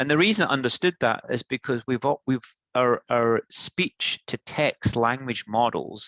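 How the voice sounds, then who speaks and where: Spoken with a Scottish accent, the voice has a bright, sharp tone and ordinary pitch variation at a fairly slow pace. The sound is dry and close with no echo, over a quiet background. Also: man, medium pitch for a man. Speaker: product manager. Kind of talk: tech demo presentation. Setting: live webinar.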